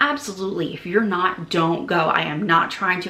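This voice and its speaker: Over noticeable background noise and audible room echo, a woman with a fairly low pitch and ordinary pitch variation talks at a fairly quick pace. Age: 40s. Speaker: travel agent and travel vlogger. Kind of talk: casual vlog monologue. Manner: conversational, some hesitations.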